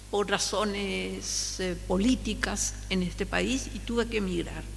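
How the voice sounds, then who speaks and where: Noticeable background noise surrounds a woman talking at a very slow pace. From Paraguay. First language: Guarani (speaking Spanish). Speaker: linguist. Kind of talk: lecture. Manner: halting.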